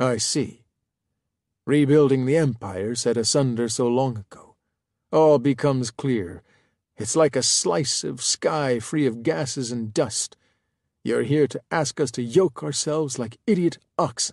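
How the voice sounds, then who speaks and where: A man puts on a raspy character voice at medium pitch. He talks at a moderate pace over a quiet background. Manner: grandiose, hostile, paranoid.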